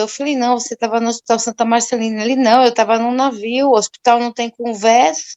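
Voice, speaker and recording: With an ordinary speaking voice, a woman speaks at a fairly high pitch and with fairly even intonation, recorded dry and close with no echo. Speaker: religious study group participant. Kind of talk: testimony.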